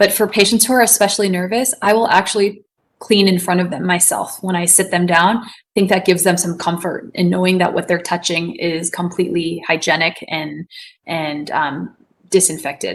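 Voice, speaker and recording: A woman's medium-pitched voice with fairly even intonation over a quiet background. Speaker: ophthalmologist presenting cases. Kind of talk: webinar case presentation. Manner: fast; loud.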